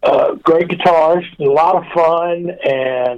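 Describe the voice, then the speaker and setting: Here a man speaks with a Memphis accent. His voice is high-pitched, with fairly even intonation. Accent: Memphis Southern US. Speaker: rock guitarist. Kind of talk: casual interview.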